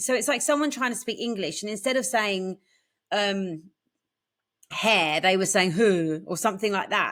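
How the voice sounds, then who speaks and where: At a moderate pace, a woman speaks with a bright, sharp tone, fairly high pitch and lively intonation. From England. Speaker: podcast co-host. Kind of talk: casual chat.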